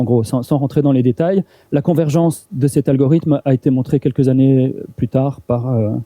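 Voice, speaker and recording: A man's medium-pitched, dark, mellow voice at a moderate pace, with very even loudness, fairly even intonation and a dry, close sound with no echo. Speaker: university lecturer. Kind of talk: lecture. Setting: seminar room with audience. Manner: halting, many repetitions and fillers.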